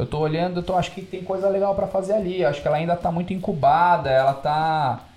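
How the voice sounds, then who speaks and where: Music plays in the background as a man talks at a very fast pace with hardly any pauses. His pitch is high, with ordinary pitch variation. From São Paulo state, Brazil (São José dos Campos). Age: 30s. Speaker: logistics business heir. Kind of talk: podcast interview.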